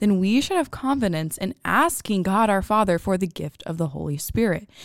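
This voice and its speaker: A woman's plain, everyday voice, medium in pitch, at a moderate pace. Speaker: podcast co-host. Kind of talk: podcast Bible study discussion. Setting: studio.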